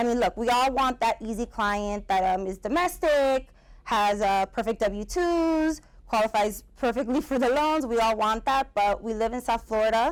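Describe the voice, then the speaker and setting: A woman's fairly high voice with ordinary pitch variation, in a very clean recording with a silent background. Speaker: real estate attorney. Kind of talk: lecture. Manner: fast.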